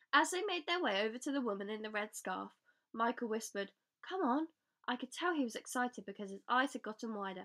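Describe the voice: The voice does plain reading aloud with lively intonation against a quiet background.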